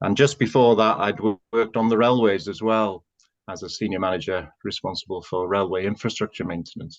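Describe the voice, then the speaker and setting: In a dry, close sound with no echo and a quiet background, a man with a North Welsh accent speaks fairly quickly, his fairly low pitch showing ordinary variation. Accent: Welsh English, North Wales. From North Wales. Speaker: housing association chief executive. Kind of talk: interview.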